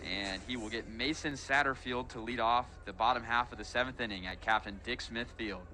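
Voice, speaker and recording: A man with an unremarkable speaking voice and medium pitch talks at a fairly quick pace, with fairly even intonation and hardly any pauses. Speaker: student broadcaster. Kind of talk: baseball play-by-play commentary.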